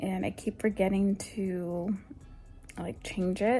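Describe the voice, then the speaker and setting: A soft-spoken woman talks in a dark, mellow tone. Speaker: lifestyle vlogger. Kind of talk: casual vlog chat.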